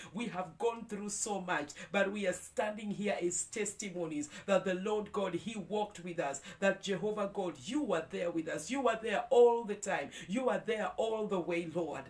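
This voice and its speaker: A woman's voice at a moderate pace with ordinary pitch variation and hardly any pauses. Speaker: prayer leader. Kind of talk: devotional prayer; fervent prayer. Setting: video, morning devotion. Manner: fervent, heartfelt, praising; warm, uplifting. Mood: fervent, thankful. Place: home room.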